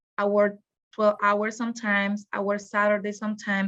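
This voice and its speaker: With a Spanish accent, a woman speaks at a moderate pace and medium pitch against a quiet background. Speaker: graduate student. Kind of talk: testimony. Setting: video call.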